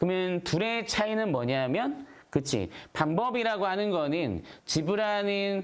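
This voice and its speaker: In a room with audible echo, a man speaks at a high pitch with very wide pitch swings. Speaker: math teacher. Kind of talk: lecture. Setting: live stream.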